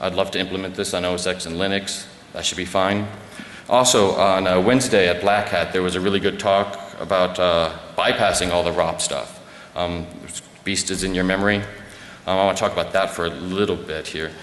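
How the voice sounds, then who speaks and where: Very deep and low, a man's voice stays monotone and flat at a fairly quick pace, broken by long, frequent pauses. There is noticeable background noise and audible room echo. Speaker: security researcher giving a conference talk. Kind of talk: conference presentation. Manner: fast; many fillers and restarts.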